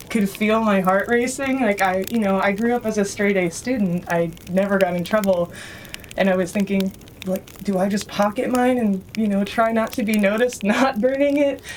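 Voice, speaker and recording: With an American accent, a woman talks at a moderate pace over noticeable background noise. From US West Coast (San Francisco Bay Area). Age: 30s. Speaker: writer and musician, former traveler. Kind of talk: interview storytelling.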